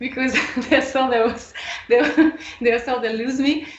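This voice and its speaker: Amid noticeable background noise and audible room echo, a woman with a French accent speaks in a high voice with ordinary pitch variation. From France. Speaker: electric violinist. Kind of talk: podcast interview.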